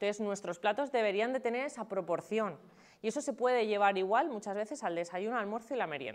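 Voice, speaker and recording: Against a quiet background, a woman talks at a very fast pace, her fairly high pitch lifted by lively intonation. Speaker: nutritionist. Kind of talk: talk to an audience.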